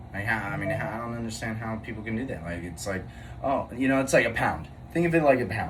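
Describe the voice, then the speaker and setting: A man at a very fast pace and medium pitch, with lively intonation, audible room echo and noticeable background noise. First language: not English. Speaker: podcast co-host. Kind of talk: casual chat. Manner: halting.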